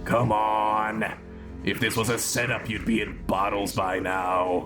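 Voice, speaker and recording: Loud background music under a man's put-on character voice, fairly low in pitch and fairly slow. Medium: audio drama. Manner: self-satisfied.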